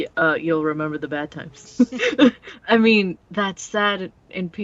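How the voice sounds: A natural reading voice is heard throughout.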